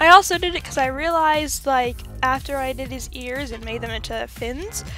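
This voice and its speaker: With music in the background, the woman keeps a moderate pace. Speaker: artist and OC reviewer. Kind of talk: casual talk to camera. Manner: casual, chatty.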